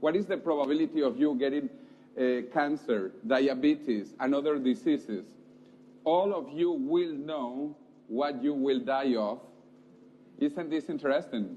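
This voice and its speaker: The delivery moves at a fairly slow pace. Its intonation is lively. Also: man. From South America. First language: Spanish. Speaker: futurist speaker. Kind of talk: lecture.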